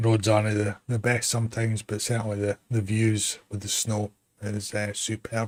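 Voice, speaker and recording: A man with a slight Glasgow accent, fairly low pitch, moderate pace and monotone, flat intonation. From Scotland, West Lothian. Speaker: gaming streamer. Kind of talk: casual chat.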